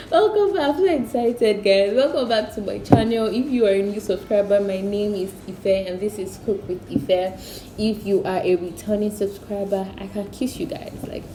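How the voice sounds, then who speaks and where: Amid noticeable background noise and audible room echo, a woman at medium pitch talks at a moderate pace with hardly any pauses, ordinary pitch variation and big swings in loudness. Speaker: cooking youtuber. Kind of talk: casual vlog intro. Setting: at home. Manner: soft-spoken, whispering.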